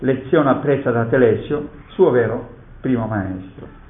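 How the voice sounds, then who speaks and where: A man talks against noticeable background noise. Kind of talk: poet reading verse aloud in a lecture. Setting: conference hall. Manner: measured, solemn, declamatory reading of sonnet verse; formal, reflective.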